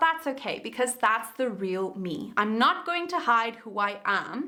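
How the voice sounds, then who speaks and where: A woman with a South African accent uses a raised, projected voice. She talks at a fairly slow pace, with very wide pitch swings. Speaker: YouTube creator and coach. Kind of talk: tutorial.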